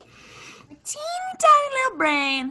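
Squeaky and extremely high, this put-on character voice moves at a fairly slow pace. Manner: silly, cutesy.

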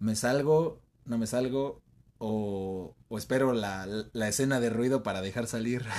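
With an unremarkable speaking voice at a medium pitch, a man speaks at a fairly slow pace and ordinary pitch variation. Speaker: podcast co-host. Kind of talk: casual chat.

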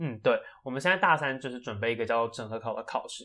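Over a very clean recording with a silent background, a man talks at a fairly quick pace in a bright, sharp tone with ordinary pitch variation. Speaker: medical student podcast co-host. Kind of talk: casual chat.

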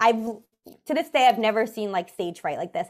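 A woman with a New York accent and very wide pitch swings. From New York City. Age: 20s. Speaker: comedian. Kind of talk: casual chat.

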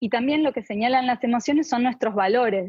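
A woman has an unremarkable speaking voice at a fairly high pitch. Her pitch variation is ordinary. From Argentina. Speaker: clinical psychologist. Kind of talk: interview.

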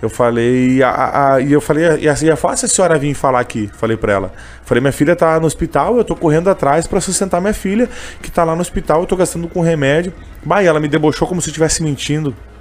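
Talking at a very fast pace, this man has a fairly high pitch. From Canoas, Rio Grande do Sul, Brazil. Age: 20s. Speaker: street vendor and gospel singer. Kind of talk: interview, casual chat. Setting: radio studio, live on YouTube.

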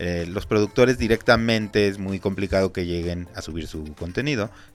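A man with a very deep, low pitch speaks at a moderate pace with ordinary pitch variation. Music plays in the background. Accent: Mexican. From Mexico. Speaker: podcast host. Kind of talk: casual interview.

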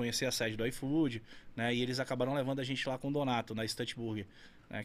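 This is a man with a medium pitch and monotone, flat intonation. The recording is very clean, with a silent background. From Amazonas, Brazil (Carauari). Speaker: burger restaurant owner. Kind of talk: casual chat. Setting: studio.

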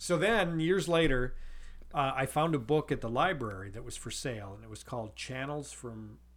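A man with an American accent and lively intonation, big swings in loudness, and audible room echo. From US Midwest, North Dakota. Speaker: podcast co-host, father. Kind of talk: casual chat.

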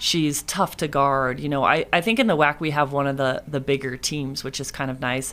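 A woman with an American accent speaks at a very deep, low pitch and a fairly quick pace, her intonation fairly even. The recording is very clean, with a silent background. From Northern California (Moraga). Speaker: women's basketball head coach. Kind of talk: casual interview.

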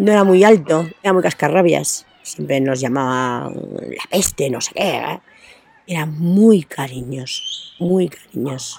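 Very slowly, a woman speaks at a very deep, low pitch with lively intonation and big swings in loudness. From Spain, Astorga (León). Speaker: interviewee. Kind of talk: interview. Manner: halting.

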